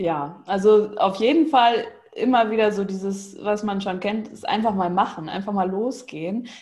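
Audible room echo surrounds a woman speaking at a moderate pace and medium pitch with ordinary pitch variation. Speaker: animal communicator and coach. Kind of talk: interview.

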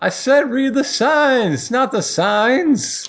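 A put-on character voice shouts in a gruff, high pitch at a very slow pace. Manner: gruff, yelling.

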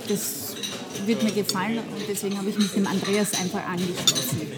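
Noticeable background noise and audible room echo around speech of ordinary pitch variation. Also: woman. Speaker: dermatologist. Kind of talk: casual chat. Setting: coffee house.

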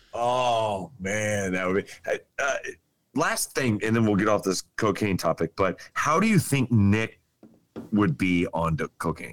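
A man with a fairly low pitch and ordinary pitch variation speaks at a fairly slow pace in an ordinary speaking voice, with a dry, close sound with no echo. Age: 40s. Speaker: podcast guest. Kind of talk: casual chat.

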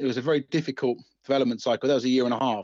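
Speaking at a very fast pace in an Essex accent, a man is heard in a dry, close sound with no echo. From Essex, England. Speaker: video game designer. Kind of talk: interview. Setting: phone call.

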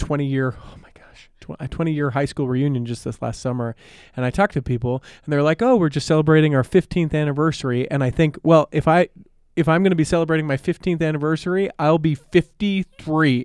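An unremarkable speaking voice from a man, fairly high in pitch with ordinary pitch variation, a fairly quick pace and big swings in loudness, against a quiet background with a dry, close sound and no echo. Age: 30s. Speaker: podcast guest. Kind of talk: casual chat.

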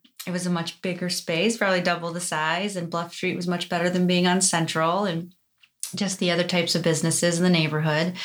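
A woman with a normal speaking voice and a fairly low pitch talks at a fairly quick pace in an American accent. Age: 30s. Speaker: esthetician and business owner. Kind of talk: casual chat.

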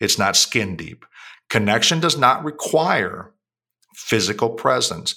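A man talks fairly slowly in a bright, sharp tone with lively intonation. The recording is very clean, with a silent background. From Puerto Rico / US. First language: Spanish. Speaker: author and CEO. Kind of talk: casual interview conversation.

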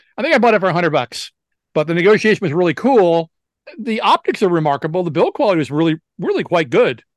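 Speaking with an American accent, a man talks at a very fast pace. His intonation is lively, and the background is quiet. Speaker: camera dealer. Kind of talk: casual chat.

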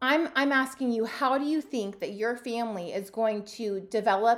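Fairly high in pitch, a woman's unremarkable speaking voice at a moderate pace, its pitch variation ordinary. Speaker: podcast host and homesteader. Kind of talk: solo podcast monologue. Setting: home studio, video recording.

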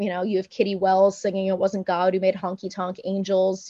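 A woman's voice has a dark, mellow tone and a medium pitch. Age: 30s. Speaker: singer-songwriter. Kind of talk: casual chat.

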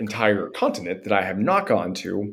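Speaking at a moderate pace, a man has an American accent. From western Pennsylvania, near Pittsburgh. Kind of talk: casual chat.

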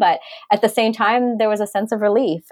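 A woman speaks with a Canadian accent. Her pace is very fast. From Canada. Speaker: social entrepreneur. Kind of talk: interview.

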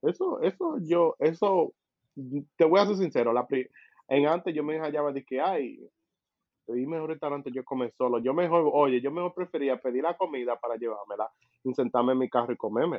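At a fairly quick pace, a man speaks in a plain, everyday voice with a fairly high pitch and ordinary pitch variation. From Caribbean, US Virgin Islands with Dominican parents. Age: 20s. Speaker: podcast co-host, engineer. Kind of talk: casual chat.

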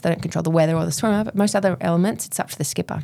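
A woman's fairly low voice with an Australian accent. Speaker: endurance swimmer and domestic violence advocate. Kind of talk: interview, personal story.

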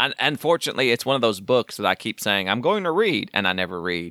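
A bright, sharp tone in an American accent, with a dry, close sound and no echo. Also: man. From Oklahoma. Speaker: podcast co-host. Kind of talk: casual chat. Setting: recording from home, remote.

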